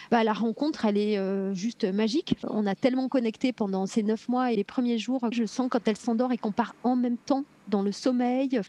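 A woman's fairly high-pitched voice with a dark, mellow tone, fairly even intonation, a moderate pace and hardly any pauses, in a dry, close sound with no echo over a quiet background. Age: 40s. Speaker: mother sharing birth story, entrepreneur. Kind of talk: testimony.

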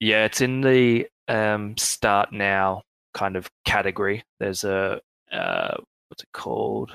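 Speaking at a very slow pace with an Australian accent, a man has a fairly low pitch and fairly even intonation, and the sound is dry and close with no echo. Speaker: project team member. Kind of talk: casual chat.

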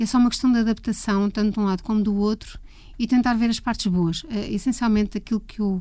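A woman with a fairly high pitch speaks in a somewhat breathy voice with a dark, mellow tone. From Portugal, Leiria. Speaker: music photographer. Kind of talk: interview conversation.

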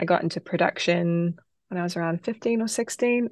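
This woman speaks with a New Zealand accent at a medium pitch. The sound is dry and close with no echo, and the background is quiet. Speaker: singer-songwriter. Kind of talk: interview.

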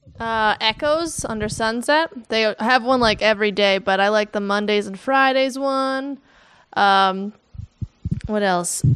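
An ordinary speaking voice from a woman with an American accent, fairly high-pitched with ordinary pitch variation, at a fairly slow pace. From New Jersey. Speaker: stand-up comedian. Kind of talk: casual chat.

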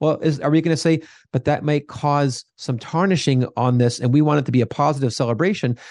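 This man has a plain, everyday voice, pitched fairly high with ordinary variation and very even loudness. He moves at a fairly quick pace against a quiet background. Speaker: theologian and Sheen advocate. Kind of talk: casual chat.

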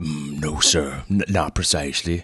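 In a put-on character voice, the speaker sounds gruff with a slightly husky edge and a bright, sharp tone, moving at a fairly slow pace with ordinary pitch variation on a very clean recording with a silent background. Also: man, extremely low pitch for a man.

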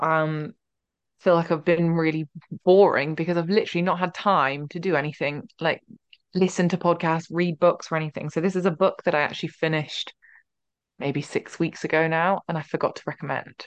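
Dry and close with no echo, a woman's unremarkable speaking voice moves at a fairly quick pace with a fairly low pitch and fairly even intonation. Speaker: podcast host.

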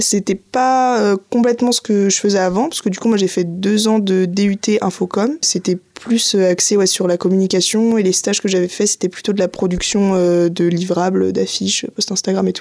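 A woman's dark, mellow tone at medium pitch, fairly even intonation, moderate pace and hardly any pauses. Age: 20s. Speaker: civic service volunteer. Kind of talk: interview.

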